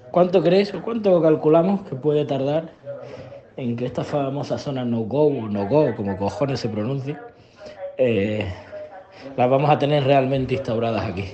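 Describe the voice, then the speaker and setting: Over light background noise, a man with a fairly high pitch and lively intonation speaks at a fairly slow pace, with long, frequent pauses. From Spain. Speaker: police officer; podcast host. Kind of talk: recorded voice message. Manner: casual. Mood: joking, friendly. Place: home room. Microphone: webcam.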